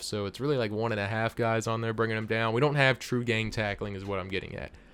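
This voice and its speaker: At a very fast pace, a man talks with medium pitch and fairly even intonation. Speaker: gaming YouTuber, video game reviewer. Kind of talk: product review. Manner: monotone.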